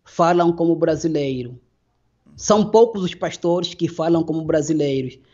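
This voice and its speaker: A man with a high pitch talks fairly slowly, his pitch varying in an ordinary way. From Angola. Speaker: former pastor. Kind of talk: interview.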